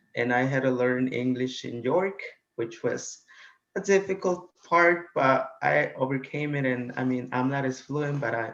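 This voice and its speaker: With a Spanish accent, a man talks with ordinary pitch variation. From Guatemala. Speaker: college student. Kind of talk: interview. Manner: hesitant, many fillers.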